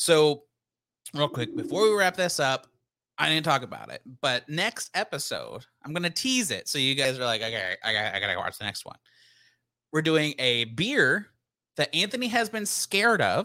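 With an American accent, a man speaks at a moderate pace in a fairly high, bright, sharp voice with vocal fry and very wide pitch swings, recorded dry and close with no echo. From Texas, Denton. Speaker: podcast co-host reviewing beer and movies. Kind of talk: casual chat.

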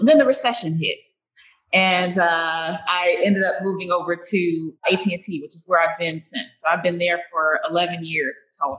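A woman with an unremarkable speaking voice talks at a moderate pace and a fairly low pitch, with ordinary pitch variation and big swings in loudness. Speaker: network engineer and author. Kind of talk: interview.

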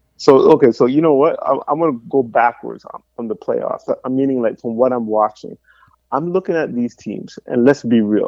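A normal speaking voice: a man at a medium pitch and moderate pace, with lively intonation. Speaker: co-host, basketball fan. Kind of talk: casual sports talk podcast.

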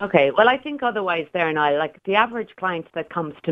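The speaker has an Irish accent. The intonation is lively and the pace fairly quick. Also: woman. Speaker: pensions broker. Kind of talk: radio interview. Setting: phone call.

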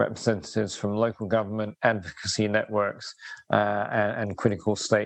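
His pitch is fairly low. The man talks with flat, monotone intonation. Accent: southern English. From southeast England, East Sussex. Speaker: urban resilience and sustainability consultant. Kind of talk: interview conversation. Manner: hesitant, many fillers.

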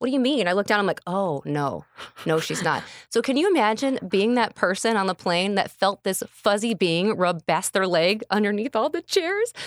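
An animated speaker with an American accent talks at a moderate pace with lively intonation. The sound is dry and close with no echo, on a very clean recording with a silent background. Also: woman, medium pitch for a woman. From Illinois, Kankakee County. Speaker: radio personality. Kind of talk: casual interview chat. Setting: live stream recording.

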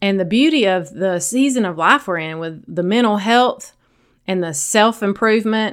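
A woman speaks with a Southern US accent. The recording is very clean, with a silent background. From US South. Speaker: sobriety coach and podcast host. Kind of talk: solo podcast monologue. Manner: gentle, lighthearted.

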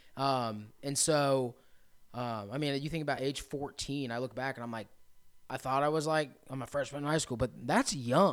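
The speaker has an American accent and fairly even intonation at a moderate pace. The recording is very clean, with a silent background. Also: man, medium pitch for a man. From central Indiana. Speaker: recovery residence operator, person in recovery. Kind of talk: testimony.

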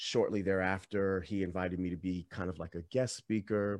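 The speaker has an American accent and talks at a moderate pace. The background is quiet. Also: man. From Washington DC area. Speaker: meditation teacher and musician. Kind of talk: casual interview. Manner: calm, relaxed.

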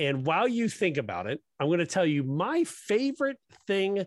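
The recording of this man is very clean with a silent background, the sound dry and close with no echo. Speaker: speech-language pathologist podcast host. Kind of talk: casual chat. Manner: loud.

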